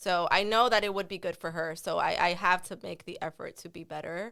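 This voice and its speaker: A woman talks with an American accent at a fairly quick pace. Her tone is bright and sharp, on a very clean recording with a silent background. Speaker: podcast co-host. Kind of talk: casual chat.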